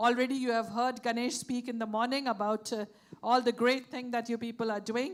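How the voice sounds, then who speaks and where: A woman speaks loudly at a fairly quick pace. Her voice is high and her intonation stays flat and monotone. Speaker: session moderator. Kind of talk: moderating a panel session.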